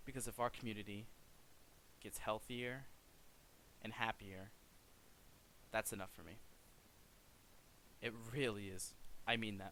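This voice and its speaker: At a moderate pace, a man speaks quietly in a bright, sharp tone, with fairly even intonation, big swings in loudness, and long, frequent pauses. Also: fairly low pitch for a man. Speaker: gaming streamer. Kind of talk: video outro monologue. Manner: awkward pauses. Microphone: poor mic.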